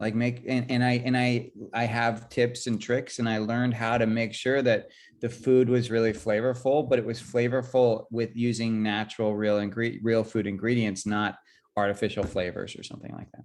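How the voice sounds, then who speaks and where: In a very clean recording with a silent background, a man with a Californian accent speaks at a moderate pace and medium pitch, his intonation monotone and flat but his loudness swinging widely. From California, San Jose. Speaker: chef. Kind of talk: interview. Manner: halting, many fillers.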